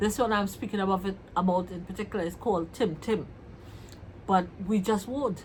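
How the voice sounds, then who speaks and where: In a Trinidadian accent, a woman talks at a moderate pace with a medium pitch and a somewhat breathy quality. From Trinidad and Tobago. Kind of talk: casual vlog talk to camera.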